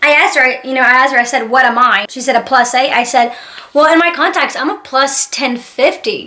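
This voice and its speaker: A woman shouts in a raised, projected, high-pitched voice at a fairly quick pace with ordinary pitch variation. Noticeable background noise sits behind her. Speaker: YouTuber. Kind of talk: storytime vlog. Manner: loud, yelling; animated.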